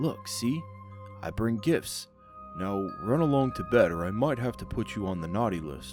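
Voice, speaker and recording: A man in a shaky, put-on character voice with fairly low pitch swings very widely in pitch at a moderate pace, with music in the background. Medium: read story. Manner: nervous, trembling.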